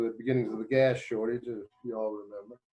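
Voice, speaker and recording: In a West Virginia accent, a man talks at a medium pitch with monotone, flat intonation. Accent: Appalachian West Virginia. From West Virginia (Clay/Braxton County). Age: 60s. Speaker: judge and court candidate. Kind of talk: interview. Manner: conversational, hesitant fillers.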